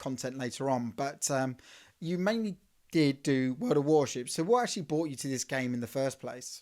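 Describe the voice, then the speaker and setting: With an Essex accent, a man talks with ordinary pitch variation. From England, Southend in Essex. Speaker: interview show host. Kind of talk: interview.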